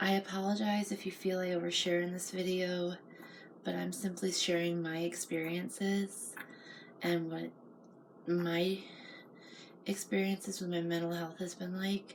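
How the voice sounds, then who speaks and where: Soft-spoken and monotone, a woman with a fairly low pitch talks at a moderate pace in a flat delivery broken by long, frequent pauses. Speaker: mental health vlogger. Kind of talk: personal reflective monologue. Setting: home at night.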